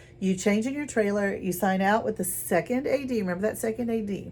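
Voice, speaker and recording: With a somewhat breathy voice, a woman speaks using lively intonation. There is audible echo in the room. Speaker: drama teacher. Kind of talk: lecture.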